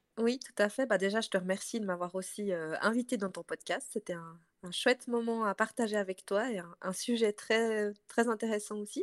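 A woman's unremarkable speaking voice, fairly high in pitch with ordinary pitch variation, at a moderate pace, in a dry, close sound with no echo. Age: 30s. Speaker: entrepreneur. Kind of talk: casual chat.

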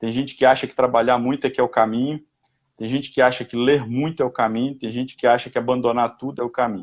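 Flat and monotone, a man speaks at a medium pitch and a very fast pace. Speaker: personal development commentator. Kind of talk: casual chat.

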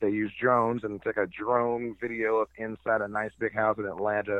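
A man is talking. His fairly low voice stays monotone and flat. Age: 30s. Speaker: drone operator, podcast guest. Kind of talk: casual chat.

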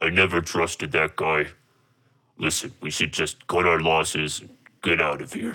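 Using a put-on character voice, a man speaks with a very deep, low pitch and long, frequent pauses. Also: moderate pace.

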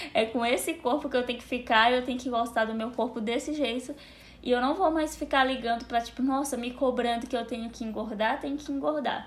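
A woman talks at a fairly quick pace in a high pitch, with ordinary pitch variation. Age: 20s. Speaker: content creator. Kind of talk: casual chat.

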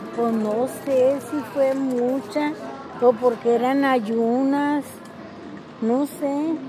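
A woman's high voice at a very slow pace, with fairly even intonation and long, frequent pauses, plus audible room echo and noticeable background noise. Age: 60s. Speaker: host's mother. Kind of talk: casual interview.

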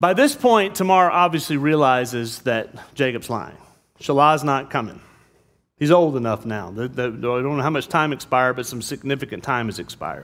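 An unremarkable speaking voice from a man, fairly high in pitch, with lively intonation and a fairly quick pace, on a very clean recording with a silent background. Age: 50s. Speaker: pastor. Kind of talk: sermon. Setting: church.

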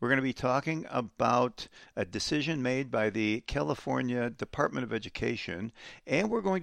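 With lively intonation and a moderate pace, a man talks in an unremarkable speaking voice against a quiet background. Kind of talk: angry rant. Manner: sarcastic, indignant, incredulous.

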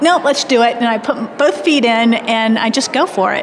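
Over noticeable background noise, a woman with an American accent talks at a fairly quick pace with ordinary pitch variation. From US Midwest, Indiana. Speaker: childhood nutrition expert, dietitian, author. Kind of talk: casual interview conversation.

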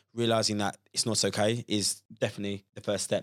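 In a London accent, a speaker talks at a fairly quick pace with monotone, flat intonation, the sound dry and close with no echo on a very clean recording against a silent background. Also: man. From London, Croydon. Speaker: personal trainer and content creator. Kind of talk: casual podcast discussion.

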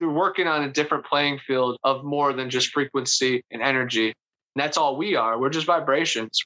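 Fairly high in pitch, a man speaks with an American accent in an unremarkable speaking voice. His intonation is fairly even. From Ohio, US. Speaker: Bigfoot researcher and author. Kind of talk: interview.

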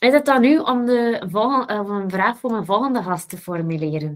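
A woman talks at a moderate pace with lively intonation. Hers is an unremarkable speaking voice. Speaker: podcast host. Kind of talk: casual interview conversation.

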